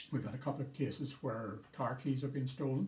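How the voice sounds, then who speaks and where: Audible room echo and light background noise surround a man talking at a moderate pace. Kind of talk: public information talk. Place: office. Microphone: phone near.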